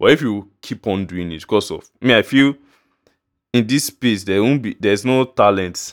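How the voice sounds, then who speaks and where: A man with a Nigerian accent speaks at a moderate pace and a fairly low pitch, leaving long, frequent pauses. The recording is very clean, with a silent background. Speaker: music producer and podcaster. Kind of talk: casual monologue. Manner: halting.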